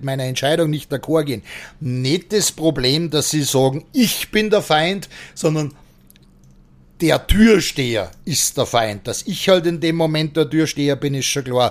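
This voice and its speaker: A man's fairly high-pitched voice, a plain, everyday voice, at a fairly slow pace with ordinary pitch variation, on a very clean recording with a silent background. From Austria. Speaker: bouncer. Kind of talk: casual interview.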